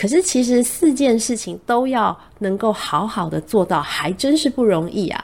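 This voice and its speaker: Her pitch fairly high and swinging very widely, a woman speaks at a moderate pace with hardly any pauses. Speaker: radio host. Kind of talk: casual monologue. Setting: studio.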